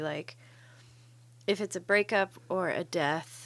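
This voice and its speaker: The speaker is a woman with a medium-pitched voice. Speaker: podcast co-host. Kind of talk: casual chat. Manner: animated, joking.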